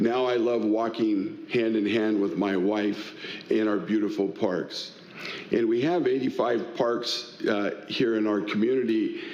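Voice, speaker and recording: Amid audible room echo, a man with an American accent speaks fairly slowly at a medium pitch with ordinary pitch variation. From Tacoma, Washington, US Pacific Northwest. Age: 60s. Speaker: political candidate, community volunteer. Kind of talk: candidate forum opening statement.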